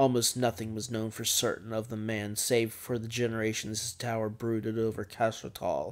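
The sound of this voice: The voice reads aloud. It sounds unforced.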